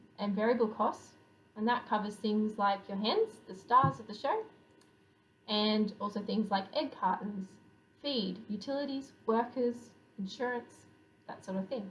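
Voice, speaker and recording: With an Australian accent, a woman speaks at a fairly slow pace with long, frequent pauses, a fairly high pitch and ordinary pitch variation, her voice carrying audible room echo. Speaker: poultry researcher. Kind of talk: scientific conference presentation.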